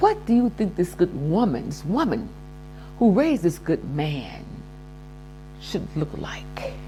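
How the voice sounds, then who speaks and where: Speaking at a fairly slow pace with long, frequent pauses, a woman is heard over noticeable background noise. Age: 70s. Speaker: lifestyle vlogger. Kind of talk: casual monologue advice. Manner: animated.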